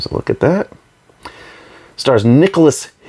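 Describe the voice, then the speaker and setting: Speaking quietly in an American accent, a man uses a fairly high pitch with very wide pitch swings. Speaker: YouTuber reviewing movie releases. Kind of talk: casual unboxing show-and-tell. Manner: hesitant, many fillers.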